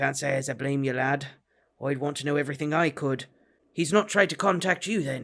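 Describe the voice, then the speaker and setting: A gruff, raspy put-on character voice from a man, fairly high in pitch and at a fairly quick pace. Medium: read story. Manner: blunt, gruff, terse.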